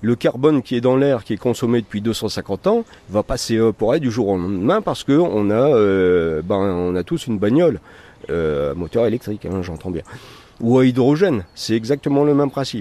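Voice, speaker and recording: A man's voice with lively intonation and a dry, close sound with no echo. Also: medium pitch for a man, moderate pace. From northern France, Valenciennes area. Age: 60s. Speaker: nature guide and bird protection volunteer. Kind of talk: interview. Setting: at his home garden. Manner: halting.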